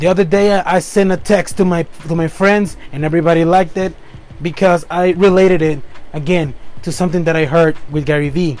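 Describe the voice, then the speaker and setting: A man's high-pitched voice in a Spanish accent, at a fairly quick pace amid noticeable background noise. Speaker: podcast host. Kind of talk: motivational monologue. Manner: animated, upbeat; halting, self-correcting.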